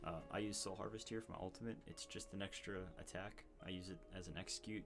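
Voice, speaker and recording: A man talks quietly at a fairly quick pace in a very deep, low voice with lively intonation. Music plays in the background. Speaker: gamer explaining a character build. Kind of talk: game guide voice-over. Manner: casual, hesitant with fillers.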